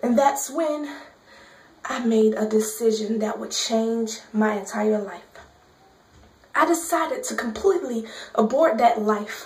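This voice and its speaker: A woman's fairly high voice with lively intonation and long, frequent pauses, over noticeable background noise. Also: fairly slow pace, big swings in loudness. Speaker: spoken word poet. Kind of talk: gospel spoken word poetry performance.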